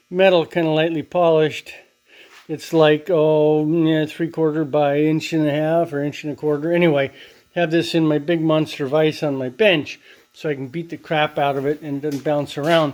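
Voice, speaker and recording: A man at a moderate pace, his pitch fairly high, his intonation flat and monotone, on a very clean recording with a silent background. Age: 60s. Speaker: DIY metalworking hobbyist. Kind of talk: workshop tutorial. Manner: casual, rambling with fillers and sound effects.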